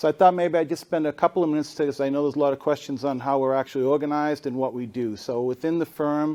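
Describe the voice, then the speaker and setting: A man with a Boston accent talks at a very fast pace with hardly any pauses. His fairly high voice has a dark, mellow tone and fairly even intonation. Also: quiet background. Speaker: consulting firm analytics leader, panelist. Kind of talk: conference panel talk. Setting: stage with audience.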